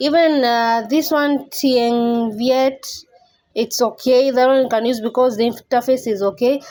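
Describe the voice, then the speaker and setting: A woman's high voice with a non-native accent, fairly even intonation, a fairly slow pace and very even loudness. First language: not English. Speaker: YouTuber. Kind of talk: tutorial. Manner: casual, conversational.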